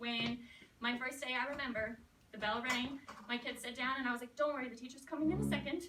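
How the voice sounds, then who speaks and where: A raised, projected voice at a fairly quick pace. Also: woman. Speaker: elementary school teacher. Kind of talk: talk to student teachers. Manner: fast.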